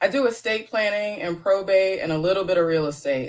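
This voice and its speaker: Her delivery is fairly quick, with lively intonation. The woman uses a normal speaking voice. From Florida, Plant City. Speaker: estate lawyer. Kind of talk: interview.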